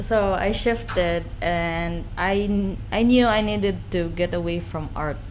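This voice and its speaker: A woman at a fairly slow pace with lively intonation and hardly any pauses. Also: fairly low pitch for a woman. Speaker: guest, artist. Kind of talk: podcast interview answer, personal story. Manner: soft-spoken.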